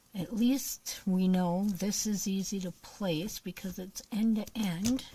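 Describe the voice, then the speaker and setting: Quiet and somewhat breathy, a woman speaks at a very slow pace with fairly even intonation. Her medium-pitched voice has a dark, mellow tone. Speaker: crafting livestreamer. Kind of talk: live craft stream chat. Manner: casual, chatty; quiet while concentrating.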